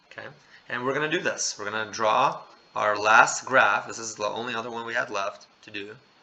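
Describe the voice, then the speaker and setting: A man at a moderate pace, with audible room echo. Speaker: math teacher. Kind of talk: lecture.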